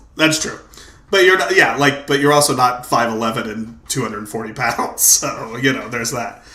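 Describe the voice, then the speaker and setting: The speaker has an animated tone, ordinary pitch variation and a moderate pace. Noticeable background noise and audible room echo come through. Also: man, medium pitch for a man. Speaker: podcast host. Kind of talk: casual chat. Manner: loud.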